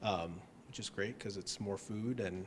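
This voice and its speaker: A man with an American accent, fairly low pitch and a moderate pace, with noticeable background noise. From United States. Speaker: ballet company employee. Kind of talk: interview.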